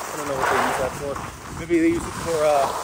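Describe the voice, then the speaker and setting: Loud background noise fills this recording, whose sound is dry with no echo. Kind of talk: casual vlog chat. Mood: relaxed, enthusiastic. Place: open country. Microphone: phone near.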